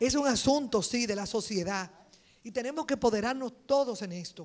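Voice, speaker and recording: A woman with an unremarkable speaking voice, fairly high in pitch, with ordinary pitch variation and a moderate pace. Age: 60s. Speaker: politician, congresswoman. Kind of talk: panel speech.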